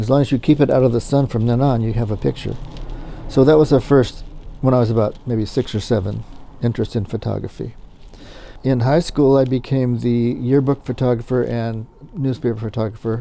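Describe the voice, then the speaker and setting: A man with an American accent talks at a fairly quick pace. His tone is dark and mellow. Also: medium pitch for a man, fairly even intonation. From US West Coast, Southern California. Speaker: business owner, photo lab owner. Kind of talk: interview. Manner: halting, with fillers and repeated words.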